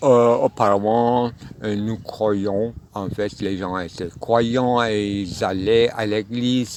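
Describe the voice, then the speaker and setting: At a very slow pace, a man talks with fairly low pitch and fairly even intonation. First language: not French (speaking French). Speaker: philosophy speaker. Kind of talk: spontaneous philosophical monologue. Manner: halting, many hesitations.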